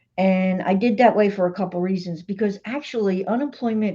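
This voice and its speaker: Her voice is somewhat breathy, with a dark, mellow tone and medium pitch. The woman speaks at a moderate pace. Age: 60s. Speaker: vlogger, retired social worker. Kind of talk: livestream monologue. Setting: home livestream. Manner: casual, hesitant with fillers.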